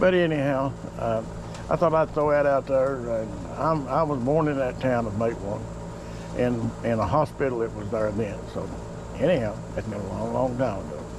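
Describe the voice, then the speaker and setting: There is noticeable background noise and audible room echo as a man talks with an Appalachian accent. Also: moderate pace. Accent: hillbilly (Appalachian). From southern West Virginia. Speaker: home cook. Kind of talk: casual talk while cooking. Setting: outdoors on back porch. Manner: halting, many fillers.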